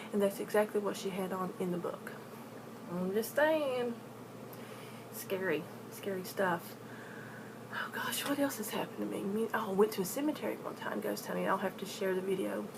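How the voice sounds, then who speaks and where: Long, frequent pauses break up a woman's speech, delivered at a medium pitch in an Appalachian accent. There is noticeable background noise. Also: ordinary pitch variation, moderate pace. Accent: Appalachian US Southern. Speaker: paranormal storyteller vlogger. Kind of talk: casual storytelling vlog. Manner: halting, repeats words.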